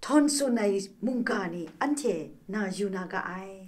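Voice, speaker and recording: A woman speaks against a quiet background. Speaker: religious speaker. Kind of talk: sermon. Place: studio.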